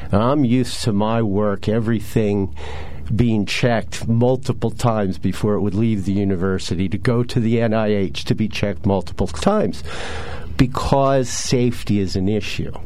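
Here a man with an American accent talks at a fairly low pitch. Background noise is noticeable. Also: ordinary pitch variation, moderate pace. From central Pennsylvania. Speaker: environmental activist. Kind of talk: radio interview. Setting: radio studio.

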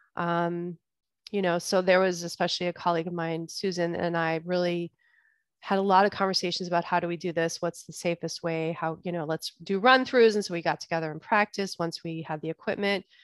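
Recorded very cleanly against a silent background, a woman with a normal speaking voice and a fairly low pitch talks at a fairly quick pace with fairly even intonation, the sound dry and close with no echo. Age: 40s. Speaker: podcast host and bodyworker. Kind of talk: solo podcast talk.

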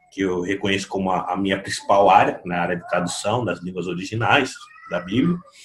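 With an unremarkable speaking voice, a man talks at a moderate pace using ordinary pitch variation. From Brazil, São Vicente (São Paulo coast). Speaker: pastor and theology author. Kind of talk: podcast interview.

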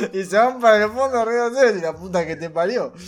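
With a Rioplatense accent, a man talks with lively intonation over noticeable background noise. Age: 20s. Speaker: streamer. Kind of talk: casual chat.

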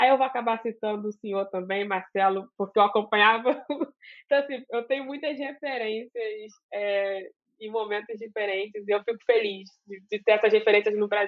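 Fairly high-pitched and with fairly even intonation, a woman with an unremarkable speaking voice keeps a moderate pace with hardly any pauses while her loudness swings widely. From Brazil, Duque de Caxias (Baixada Fluminense, Rio de Janeiro). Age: 20s. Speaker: computer science student and science communicator. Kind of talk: interview.

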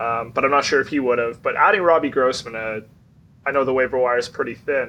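A man speaks loud and very fast in a bright, sharp tone. His intonation is lively. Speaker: fantasy league player. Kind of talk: casual chat.

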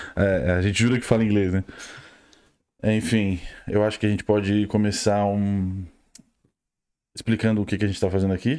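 Dark and mellow in tone, a man speaks at a fairly low pitch with fairly even intonation and long, frequent pauses, in a very clean recording with a silent background. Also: fairly quick pace. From Rio Grande do Sul, southern Brazil. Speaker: podcast co-host. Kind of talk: casual chat. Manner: talkative.

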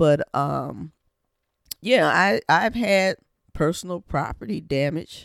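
A woman's fairly low voice with vocal fry, fairly slow, in a dry, close sound with no echo. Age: 50s. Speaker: vlogger sharing life reflections. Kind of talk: personal monologue. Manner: conversational, with frequent fillers.

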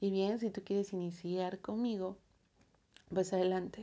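A woman with a Mexican accent, medium in pitch, at a fairly slow pace. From Mexico. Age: 30s. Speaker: podcast host. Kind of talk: personal audio diary. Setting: alone in her bedroom. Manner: casual, many filler words.

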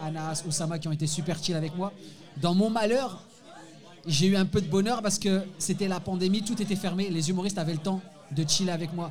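A man's high-pitched voice at a moderate pace, with long, frequent pauses, fairly even intonation, and noticeable background noise. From France, Moroccan family. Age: 40s. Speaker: stand-up comedian. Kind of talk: casual chat. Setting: bar stage with live audience.

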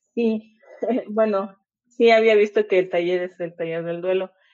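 Her voice sits at a medium pitch, and this woman keeps her intonation fairly even. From Monterrey, Mexico. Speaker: audience participant. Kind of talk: casual chat. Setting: phone in audio chat room.

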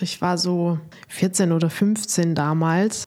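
A woman speaks with fairly even intonation. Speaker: dating coach, podcast host. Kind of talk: podcast monologue with advice.

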